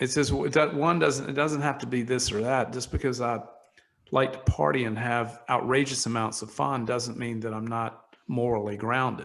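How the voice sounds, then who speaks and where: A man speaks at a moderate pace and a medium pitch in a normal speaking voice. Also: ordinary pitch variation. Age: 60s. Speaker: entrepreneur, wine company founder. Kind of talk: interview conversation.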